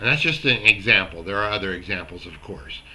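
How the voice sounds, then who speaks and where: The man's voice has a bright, sharp tone with vocal fry. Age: 60s. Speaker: self-help video host. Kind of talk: motivational talk to camera. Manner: casual, halting with fillers.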